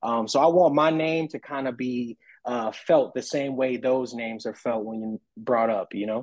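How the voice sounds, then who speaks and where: A man speaks in an ordinary speaking voice, medium in pitch, at a moderate pace with hardly any pauses and ordinary pitch variation. The sound is dry and close with no echo, against a quiet background. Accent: American. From US South, New Orleans. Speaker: hip-hop artist. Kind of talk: casual interview chat.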